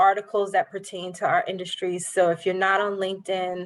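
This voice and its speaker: In a New York accent, the speaker goes at a moderate pace on a very clean recording with a silent background. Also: woman. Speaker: banker. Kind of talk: workshop presentation.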